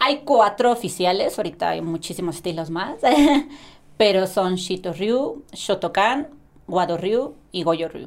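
In a very clean recording with a silent background, a woman with an unremarkable speaking voice talks at a fairly slow pace, using a medium pitch and lively intonation. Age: 20s. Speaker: athlete. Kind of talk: casual chat.

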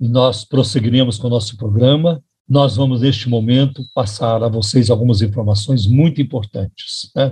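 Somewhat breathy and dark, mellow in tone, a man's voice moves with fairly even intonation. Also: medium pitch for a man, moderate pace. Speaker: pastor and radio host. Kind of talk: radio sermon.

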